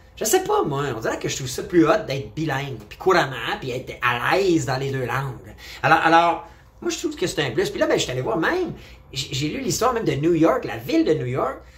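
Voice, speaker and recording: Over noticeable background noise and audible room echo, a man talks at a fairly quick pace in an animated tone. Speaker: vlogger. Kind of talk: opinion monologue.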